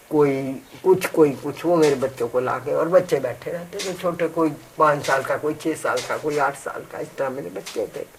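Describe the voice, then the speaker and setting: Hardly pausing, a woman talks at a very deep, low pitch with ordinary pitch variation against noticeable background noise. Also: moderate pace. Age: 80s+. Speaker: activist mother of dowry victim. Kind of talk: interview. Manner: animated.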